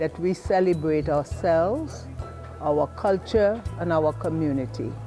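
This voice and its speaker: A woman talks at a very slow pace. Background music can be heard. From Trinidad. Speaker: storyteller. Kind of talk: talk to a live audience.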